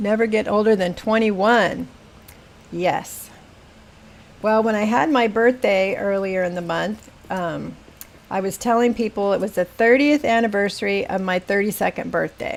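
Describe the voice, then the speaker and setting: A woman with an American accent, an ordinary speaking voice, medium pitch, ordinary pitch variation and a moderate pace. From Northern California, Humboldt County. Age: 60s. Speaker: gaming streamer. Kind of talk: casual live-stream chat.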